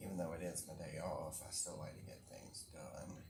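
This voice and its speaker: Amid noticeable background noise and audible room echo, a soft-spoken man talks at a fairly slow pace. His very deep, low voice keeps a fairly even intonation. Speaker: crafting vlogger. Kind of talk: casual chat.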